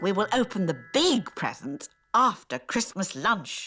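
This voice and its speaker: At a fairly slow pace, a female-sounding, cartoonish character voice at medium pitch makes very wide pitch swings, with faint music in the background. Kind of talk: children's cartoon. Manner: warm, gentle.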